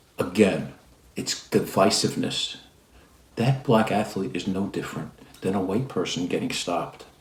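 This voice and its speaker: With long, frequent pauses, a man speaks at a fairly low pitch with lively intonation, and the room echo is audible. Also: moderate pace. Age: 60s. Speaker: lawyer and commentator. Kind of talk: opinion commentary. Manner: hesitant, many fillers.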